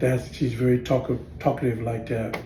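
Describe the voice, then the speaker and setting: Audible room echo carries a man's dark, mellow, somewhat breathy voice at a medium pitch and a moderate pace. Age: 60s. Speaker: tai chi and qigong practitioner. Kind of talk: casual storytelling monologue. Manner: halting, many fillers and restarts.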